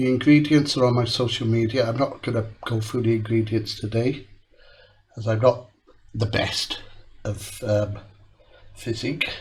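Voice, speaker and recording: A man with a somewhat breathy, medium-pitched voice talks at a moderate pace with fairly even intonation and long, frequent pauses. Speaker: cooking channel host. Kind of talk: cooking tutorial.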